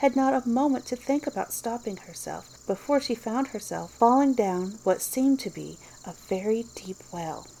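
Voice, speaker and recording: An unremarkable speaking voice, a woman's fairly high pitch moves with lively intonation at a moderate pace. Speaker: audiobook reader. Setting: outdoor nature sounds in background.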